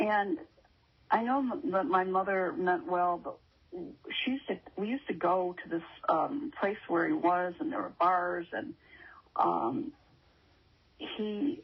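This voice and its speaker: A woman speaks at a fairly slow pace, her pitch swinging very widely. Her voice is somewhat breathy, with long, frequent pauses. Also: medium pitch for a woman. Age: 70s. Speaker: testimony speaker in recovery ministry. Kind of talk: testimony. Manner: halting, with many fillers.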